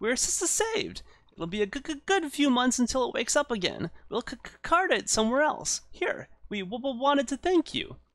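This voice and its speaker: Putting on a character voice, a man speaks at a moderate pace in an extremely high pitch with an excited tone. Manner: chattering, excited and grateful.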